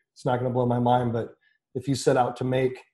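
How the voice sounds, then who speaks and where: Speaking at a very fast pace, a man has a dark, mellow tone that is somewhat breathy. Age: 30s. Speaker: brewery sales and marketing. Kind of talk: casual chat.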